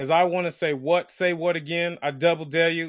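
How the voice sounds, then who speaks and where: Against a quiet background, a man with an American accent speaks at a moderate pace in a fairly high pitch with an animated tone. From South Central Los Angeles. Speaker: podcast co-host. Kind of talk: casual chat.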